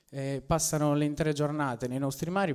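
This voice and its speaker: A man with a plain, everyday voice speaks at a fairly quick pace and a fairly high pitch. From Sardinia, La Maddalena. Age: 20s. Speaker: local entrepreneur. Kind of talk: public speech. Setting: public meeting with audience.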